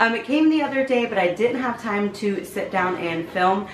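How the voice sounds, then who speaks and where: Ordinary pitch variation marks a woman's voice, heard with audible room echo and noticeable background noise. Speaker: beauty YouTuber. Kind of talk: casual unboxing vlog. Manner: chatty, informal.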